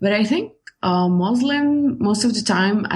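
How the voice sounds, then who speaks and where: With an Algerian accent, a woman speaks in a somewhat breathy voice with lively intonation. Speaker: writer. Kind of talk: casual interview chat. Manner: halting.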